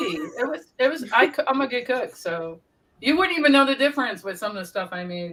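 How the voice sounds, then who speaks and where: A raised, projected voice in an American accent, fairly quick and animated, with very wide pitch swings and big swings in loudness. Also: woman. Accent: Brooklyn accent, comes out at times. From Brooklyn, New York. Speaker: paranormal channel host. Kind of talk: casual chat.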